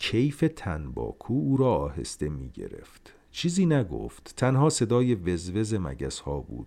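Speaking at a fairly slow pace with hardly any pauses, a man with a fairly low pitch and a dark, mellow tone makes very wide pitch swings. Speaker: podcast host and story narrator. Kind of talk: reading aloud a short story.

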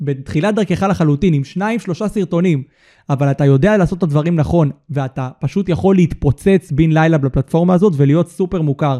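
On a very clean recording with a silent background and a dry, close sound with no echo, a man speaks at a fairly quick pace in a dark, mellow tone, his fairly high pitch showing ordinary variation. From Israel, Holon. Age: 20s. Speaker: content studio owner. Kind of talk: casual interview. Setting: studio.

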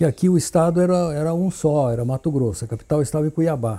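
At a moderate pace, a man speaks at a fairly high pitch in a dark, mellow tone, somewhat breathy, with lively intonation. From Brazil, São Paulo city. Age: 70s. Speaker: town founder's grandson, former pilot. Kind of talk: interview reminiscence. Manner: halting, repeats words.

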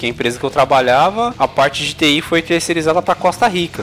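A man's fairly high voice with lively intonation, set against noticeable background noise. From São Paulo, Brazil (east zone, Suzano). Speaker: podcast host. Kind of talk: casual chat.

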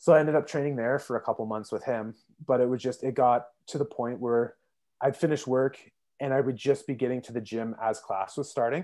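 In a normal speaking voice, a man with a Canadian accent talks at a fairly quick pace and medium pitch with fairly even intonation, on a very clean recording with a silent background. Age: 20s. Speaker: social services caseworker. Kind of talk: casual interview.

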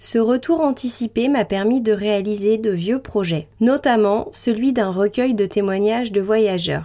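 A woman speaks with a dark, mellow tone, hardly any pauses, ordinary pitch variation and very even loudness. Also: fairly high pitch for a woman, fairly slow pace. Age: 20s. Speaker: podcast host. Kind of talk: scripted narration.

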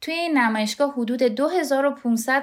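This woman has a normal speaking voice, with ordinary pitch variation and a moderate pace. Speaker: podcast co-host. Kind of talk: podcast narration and casual chat between co-hosts.

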